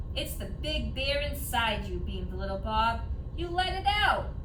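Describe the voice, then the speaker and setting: Someone in a put-on character voice talks at a moderate pace against loud background noise. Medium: read story. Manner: eager, plucky.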